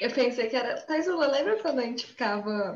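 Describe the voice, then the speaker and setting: A woman's moderately paced speech carries audible room echo. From inland Brazil. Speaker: podcast co-host. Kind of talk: casual chat.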